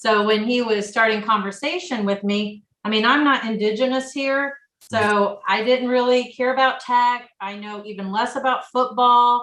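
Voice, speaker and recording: A woman's high-pitched voice with an American accent and fairly even intonation. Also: moderate pace. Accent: Midwestern (noticed by husband). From rural Illinois. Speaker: coach's wife. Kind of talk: casual interview chat.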